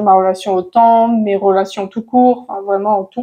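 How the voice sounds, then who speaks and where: A woman's fairly high voice with a dark, mellow tone, at a fairly slow pace with ordinary pitch variation. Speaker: manifestation coach. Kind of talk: casual to-camera advice talk. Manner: hesitant, many fillers.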